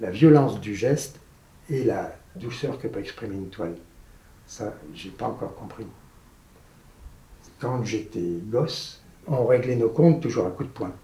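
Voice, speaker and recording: Somewhat breathy and dark, mellow in tone, a man speaks fairly slowly with lively intonation, big swings in loudness and long, frequent pauses, with audible room echo. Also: medium pitch for a man. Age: 80s+. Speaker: painter. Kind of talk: interview. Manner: halting.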